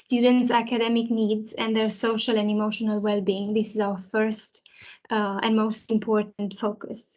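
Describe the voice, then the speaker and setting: In a Romanian accent, a woman speaks at a fairly high pitch. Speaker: early years teacher. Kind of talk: presentation to parents. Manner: hesitant, many fillers.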